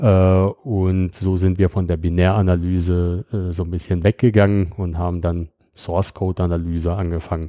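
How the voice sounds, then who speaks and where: A man speaks at a moderate pace in a very deep, low pitch with a dark, mellow tone and monotone, flat intonation. The sound is dry and close with no echo against a quiet background. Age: 30s. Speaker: security startup founder. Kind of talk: technical interview. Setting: on site at company office in Bonn. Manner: frequent filler sounds.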